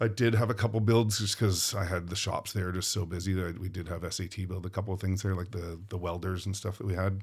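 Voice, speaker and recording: A man with a Western Canadian accent speaks at a very fast pace with hardly any pauses, his pitch very deep and low. His intonation is monotone and flat, and his voice is somewhat breathy. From Vancouver, Canada. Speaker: film property master. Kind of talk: casual interview. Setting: studio.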